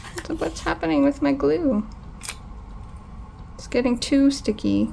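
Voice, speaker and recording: A woman speaks at a fairly slow pace, her loudness swinging widely. Noticeable background noise runs underneath. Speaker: planner hobbyist vlogger. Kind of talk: casual craft tutorial. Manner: louder than usual.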